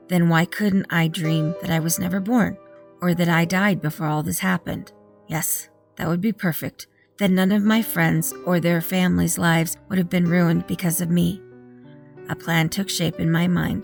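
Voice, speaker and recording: A woman's fairly low voice at a moderate pace, fairly even in intonation, over background music. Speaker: horror story narrator. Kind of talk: horror story reading.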